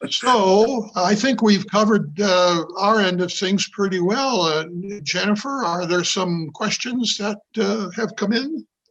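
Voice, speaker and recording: A man with a high-pitched voice talks fairly slowly, his pitch varying in an ordinary way. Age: 80s+. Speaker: theater managing director. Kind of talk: webinar talk. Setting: video call. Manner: halting.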